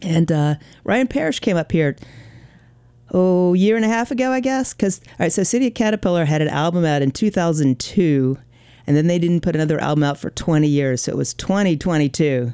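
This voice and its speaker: A fairly quick pace on a very clean recording with a silent background. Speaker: radio DJ. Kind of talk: radio DJ patter. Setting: radio station studio broadcast. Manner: relaxed, chatty, casual; friendly, upbeat, with filler ums.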